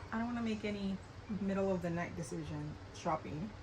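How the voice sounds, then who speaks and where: With lively intonation and an American accent, a woman speaks over noticeable background noise in a room with audible echo. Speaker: beauty vlogger. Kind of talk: casual get-ready-with-me chat. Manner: chatty, casual with hesitations.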